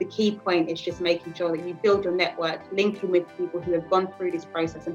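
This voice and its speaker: Over music in the background, a woman with a London accent talks at a very fast pace and a fairly low pitch. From East London. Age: 20s. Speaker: manager. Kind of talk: interview answer.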